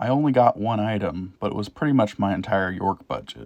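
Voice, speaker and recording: In a quiet setting, a man with a Midwestern accent talks in a fairly low voice with lively intonation. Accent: Midwest. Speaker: train hobby YouTuber. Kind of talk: narrated trip recap voiceover.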